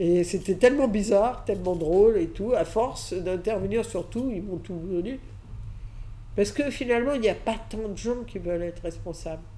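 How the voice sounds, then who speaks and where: A woman at medium pitch talks with ordinary pitch variation in a dark, mellow tone. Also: moderate pace. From Catalonia, Spain, moved to France at 6. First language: Catalan/Spanish (speaking French). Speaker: advertising agency founder. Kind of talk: interview, personal story. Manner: hesitant, many fillers.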